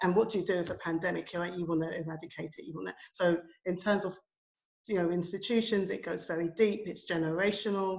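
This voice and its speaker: Her pitch fairly low and her intonation fairly even, a woman speaks at a very fast pace. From London, England. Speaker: education and community arts practitioner. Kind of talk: panel discussion.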